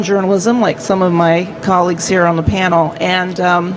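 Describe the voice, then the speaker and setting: Audible room echo and noticeable background noise surround the recording. The woman speaking has a medium pitch. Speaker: print industry executive. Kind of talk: panel introduction. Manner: soft-spoken. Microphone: too quiet, hard to hear.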